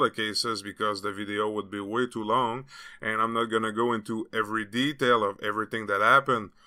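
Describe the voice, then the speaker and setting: Speaking at a very fast pace, a man with a French Canadian accent uses a medium pitch and a bright, sharp tone in a monotone, flat intonation, in a very clean recording with a silent background. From Quebec. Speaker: political commentary youtuber. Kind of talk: video commentary.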